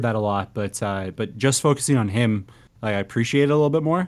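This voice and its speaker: A man with a Canadian accent, very fast and with lively intonation. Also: very clean recording, silent background. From Canada. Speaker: podcast host. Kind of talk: casual chat about music.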